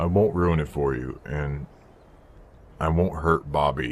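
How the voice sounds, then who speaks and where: A put-on character voice at a fairly slow pace. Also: man, very deep, low pitch for a man. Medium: machinima.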